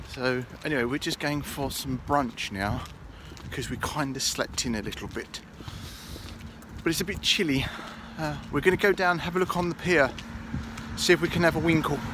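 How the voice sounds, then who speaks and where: A man's voice, dry with no echo, with long, frequent pauses and noticeable background noise. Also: ordinary pitch variation, moderate pace. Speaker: travel vlogger. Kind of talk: casual vlog chat. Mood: jokey, cheerful. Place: street. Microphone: phone near.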